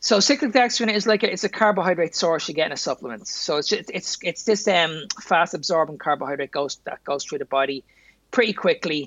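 This voice carries a Dublin accent. The pace is fairly quick. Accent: Dublin Irish. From Ireland, Dublin. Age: 40s. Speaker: nutrition therapist and strength coach. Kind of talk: casual chat.

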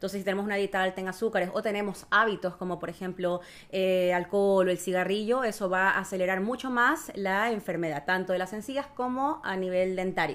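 A woman with an ordinary speaking voice talks at a fairly quick pace with a medium pitch, ordinary pitch variation and hardly any pauses. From Ecuador. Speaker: dentist. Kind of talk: casual interview, explanatory.

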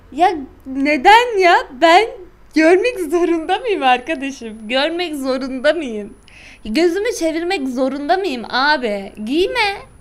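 In a room with audible echo, a woman talks at a very slow pace in a high pitch, her voice making very wide pitch swings. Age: 20s. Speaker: podcast co-host. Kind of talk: casual chat. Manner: animated.

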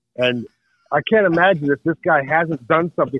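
This man has a normal speaking voice, pitched fairly high. He talks at a fairly quick pace with lively intonation. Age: 60s. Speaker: podcast correspondent and artist. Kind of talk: casual chat. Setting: phone call.

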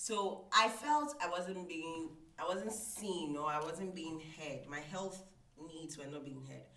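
A woman speaks at a very slow pace with a fairly low pitch. Her loudness swings a lot, and background noise is noticeable. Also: ordinary pitch variation. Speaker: IT support manager and reading nonprofit founder. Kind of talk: personal testimony in interview.

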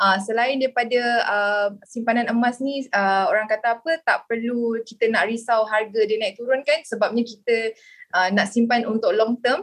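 A woman talks at a moderate pace in a high voice. Music plays in the background. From Kuala Lumpur, Malaysia. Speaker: communications executive and gold dealer. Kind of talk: podcast panel discussion.

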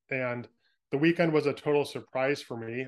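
A man talks with a West Coast American accent. The background is quiet. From California, San Francisco Bay Area. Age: 30s. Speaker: author. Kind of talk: interview.

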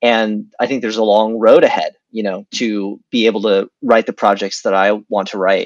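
A man with a plain, everyday voice, fairly low in pitch, at a moderate pace with hardly any pauses, in dry, close sound with no echo and a quiet background. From US, Washington D.C. area. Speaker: screenwriter. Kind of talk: casual interview.

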